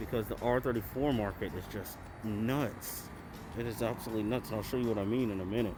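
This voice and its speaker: Music plays in the background as a man with a medium-pitched voice talks at a moderate pace. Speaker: car enthusiast. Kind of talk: casual talk to camera. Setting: muffled, speaking through a face mask. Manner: excited.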